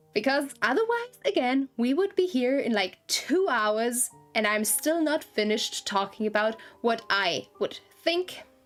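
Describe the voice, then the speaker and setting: A woman with a high voice speaks at a fairly slow pace, her pitch swinging very widely in an animated tone. Her loudness stays very even, and music plays in the background. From Germany. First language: German. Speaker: gaming streamer. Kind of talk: live game stream chat. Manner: animated, self-interrupting.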